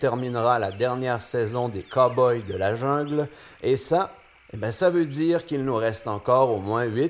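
A speaker reads aloud in a natural voice, and the pitch varies in an ordinary way.

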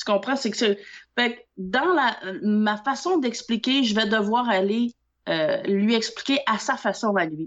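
In a Quebec accent, a woman with a fairly high pitch speaks at a fairly slow pace, her tone animated and her intonation lively. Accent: Québécois French. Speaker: nail technician and trainer. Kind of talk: casual chat.

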